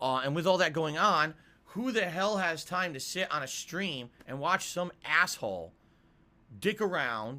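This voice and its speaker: Bright and sharp in tone, a man's fairly high voice swings very widely in pitch and carries vocal fry. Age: 30s. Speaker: live streamer. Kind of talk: casual live stream chat. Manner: animated.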